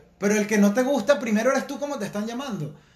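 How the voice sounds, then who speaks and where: Over noticeable background noise and audible room echo, a man with a high pitch speaks in an animated tone with ordinary pitch variation. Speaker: podcast co-host. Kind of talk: casual chat.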